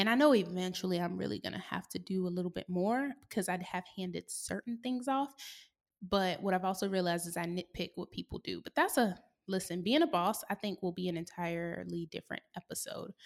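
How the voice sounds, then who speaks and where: In a very clean recording with a silent background and a dry, close sound with no echo, a woman with an unremarkable speaking voice talks at a fairly quick pace, medium in pitch, with ordinary pitch variation. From US South. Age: 20s. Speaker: podcast host. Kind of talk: casual solo monologue. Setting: her co-working space.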